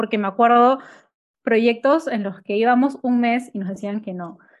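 Against a quiet background, a woman talks with intonation that stays fairly even. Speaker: marketing agency owner. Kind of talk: casual chat. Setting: home office.

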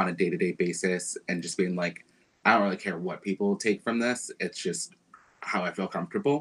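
A man's fairly low voice, an unremarkable speaking voice, with ordinary pitch variation. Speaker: singer and musician. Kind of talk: casual chat. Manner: casual, laid-back.

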